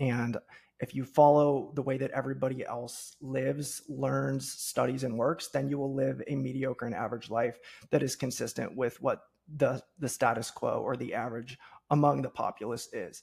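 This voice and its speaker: The speaker has a Midwestern American accent and a moderate pace. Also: man. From US Midwest, Cincinnati, Ohio. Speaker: entrepreneur and podcast host. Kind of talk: interview.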